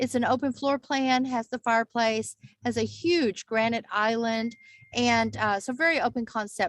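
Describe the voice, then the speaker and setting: With a Texas accent, a woman with a fairly high voice speaks at a moderate pace in a dry, close sound with no echo. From Texas Panhandle. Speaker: real estate agent. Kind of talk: casual video chat. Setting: video call.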